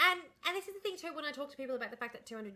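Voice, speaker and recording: A woman speaks in an Australian accent. Her tone is animated. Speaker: livestreamer. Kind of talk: casual chat. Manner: fast.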